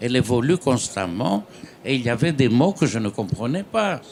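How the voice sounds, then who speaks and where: With a Greek accent, a man talks at a fairly slow pace and medium pitch, using lively intonation. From Greece. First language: Greek (speaking French). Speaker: novelist. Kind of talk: panel discussion.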